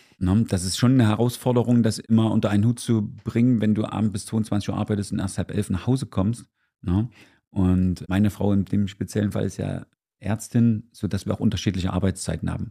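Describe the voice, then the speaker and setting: A man talks fairly quickly in a fairly low voice with a dark, mellow tone. The recording is very clean, with a silent background. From Gera, Thuringia, eastern Germany. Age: 50s. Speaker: dance teacher and business owner. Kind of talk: casual interview. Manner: animated.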